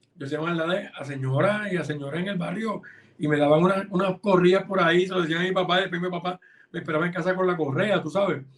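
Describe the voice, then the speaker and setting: Over noticeable background noise, a man with a high pitch talks very fast with fairly even intonation. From Puerto Rico, Hormigueros (west coast). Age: 50s. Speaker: film and television director. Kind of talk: interview. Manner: casual, conversational with fillers.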